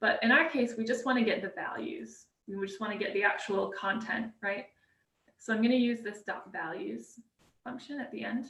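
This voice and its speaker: A woman's voice shows big swings in loudness and ordinary pitch variation. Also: fairly high pitch for a woman. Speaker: workshop presenter. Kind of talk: live coding tutorial. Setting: live stream. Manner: fast; hesitant, many fillers.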